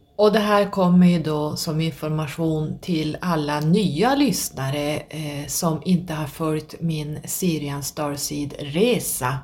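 Over noticeable background noise, a woman with a very deep, low pitch speaks at a very slow pace with hardly any pauses. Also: ordinary pitch variation. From northern Sweden. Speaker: podcast host. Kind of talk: solo monologue.

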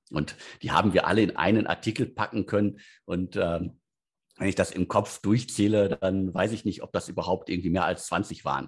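At a moderate pace, a man talks in a fairly low voice with ordinary pitch variation. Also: quiet background. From Ruhr area, Germany (Bottrop). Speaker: editor-in-chief of a startup news site. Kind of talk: interview. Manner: halting, many fillers.

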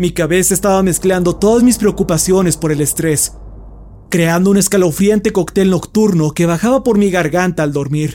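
This man's voice is high in pitch, with very even loudness and ordinary pitch variation. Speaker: horror story narrator. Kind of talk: scripted narration, creepypasta horror reading, hushed and suspenseful. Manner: slow, hushed, tense pacing with dramatic pauses; first-person narration with a fearful, whispery intensity.

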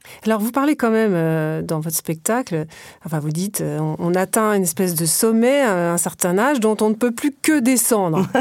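A woman with a plain, everyday voice speaks at medium pitch and a moderate pace. Her intonation is lively, and the recording is very clean with a silent background. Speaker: podcast host interviewer. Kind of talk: interview.

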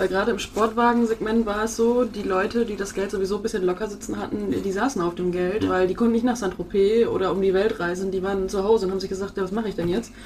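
A woman's very fast speech with hardly any pauses and fairly even intonation, amid noticeable background noise. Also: medium pitch for a woman. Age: 30s. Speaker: social media marketer and photographer. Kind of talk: interview.

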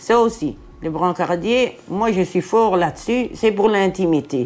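Lively in intonation, a woman speaks at medium pitch and a fairly slow pace. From Brussels, Belgium (Jette). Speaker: hospital porter, former care assistant. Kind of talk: testimony.

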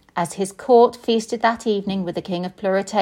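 Text is read out loud. The voice doing it is an unforced reading voice.

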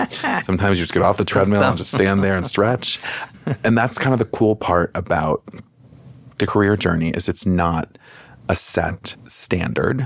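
A man with an American accent and an unremarkable speaking voice talks at a moderate pace and a fairly low pitch, with ordinary pitch variation and very even loudness. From US Midwest, Chicago. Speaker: podcast host, career coach. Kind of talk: casual chat. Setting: studio.

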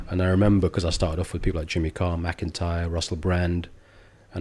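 A man with an English accent, a very deep, low pitch and monotone, flat intonation at a fairly quick pace, on a very clean recording with a silent background. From England. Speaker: comedian. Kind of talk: casual chat. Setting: barber's grooming room.

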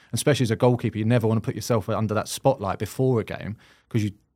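A man with a South London accent talks at a very fast pace. His intonation stays fairly even. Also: very clean recording, silent background. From South London, England. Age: 30s. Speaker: podcast host, goalkeeper. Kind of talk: casual chat.

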